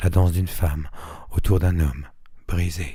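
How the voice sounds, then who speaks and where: A man with a very deep, low pitch speaks in a dark, mellow tone that is somewhat breathy, with ordinary pitch variation. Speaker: reader of a written text. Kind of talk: literary / poetry reading.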